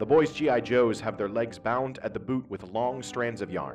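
A medium-pitched male voice at a fairly slow pace, with music in the background. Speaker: poet. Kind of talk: poetry reading.

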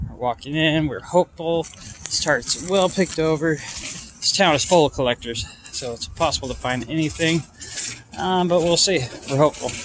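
A man talks at a moderate pace with ordinary pitch variation, the sound dry with no echo and light background noise behind him. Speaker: toy collector vlogger. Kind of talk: casual vlog chat. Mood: mildly disappointed, hopeful.

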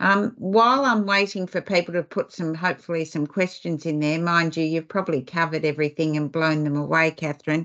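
Against a quiet background, a woman with a fairly low pitch talks at a fairly quick pace with hardly any pauses and ordinary pitch variation. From Australia. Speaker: webinar host and foundation CEO; webinar host, moderator. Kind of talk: webinar presentation. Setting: video call webinar. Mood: warm, appreciative. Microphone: video call.

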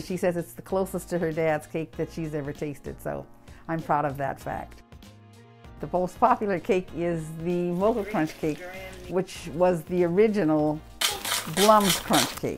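Music can be heard behind the speech. The delivery has a moderate pace. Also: woman. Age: 80s+. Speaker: cake business owner, former mayor. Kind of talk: interview answer. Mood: proud, warm.

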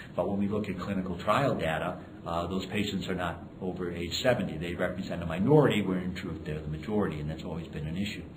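Very deep, low male voice with ordinary pitch variation over noticeable background noise. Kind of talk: interview answer. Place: hall.

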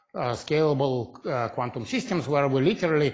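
Against a quiet background, a man speaks at a moderate pace in a somewhat breathy voice. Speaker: physics lecturer. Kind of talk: lecture. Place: hall.

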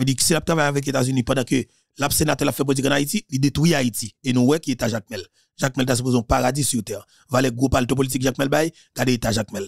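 A man speaks very fast in an animated tone, the sound dry with no echo against a quiet background. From Haiti. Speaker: political commentator. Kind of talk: political monologue. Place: studio. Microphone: studio mic.

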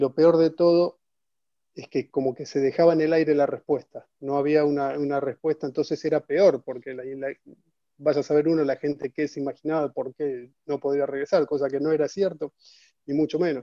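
With a quiet background and a dry sound with no echo, a man speaks at a moderate pace in a fairly high, monotone, flat voice. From Argentina, Buenos Aires. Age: 40s. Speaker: retired football striker; guest. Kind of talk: interview. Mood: reflective, nostalgic. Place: home room. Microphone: video call.

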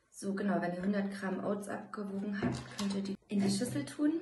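Over light background noise, a woman speaks with audible room echo. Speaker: home cooking vlogger. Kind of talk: casual vlog chat, cooking tutorial. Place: home room. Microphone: phone near.

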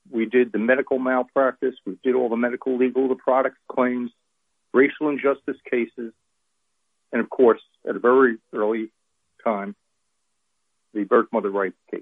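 A medium-pitched man with an American accent, fairly even intonation and long, frequent pauses. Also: moderate pace. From New Jersey, Monmouth County (North Jersey shore). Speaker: pro-life attorney. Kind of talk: interview. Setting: phone call.

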